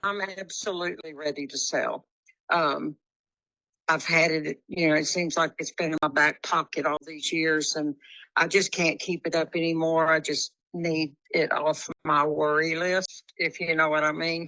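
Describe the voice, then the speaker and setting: In a Texas accent, a woman speaks fairly slowly with a very deep, low pitch, a bright, sharp tone and monotone, flat intonation, the sound dry and close with no echo against a quiet background. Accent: Texas Southern. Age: 70s. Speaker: home seller. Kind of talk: phone conversation.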